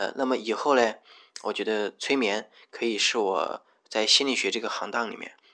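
A man's bright, sharp voice at a medium pitch, at a moderate pace with fairly even intonation. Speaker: podcast host. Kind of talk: personal monologue. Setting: rented room at home. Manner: hesitant, many filler sounds.

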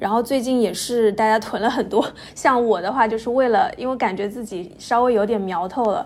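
Fairly high-pitched female speech, its pitch varying in an ordinary way, against noticeable background noise. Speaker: podcast co-host. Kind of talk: podcast interview.

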